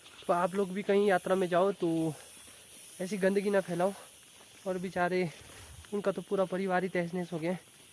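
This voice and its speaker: Speaking at a moderate pace with long, frequent pauses, a man uses a high pitch and monotone, flat intonation. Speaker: vlogger. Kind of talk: casual vlog talk. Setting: outdoors in forest.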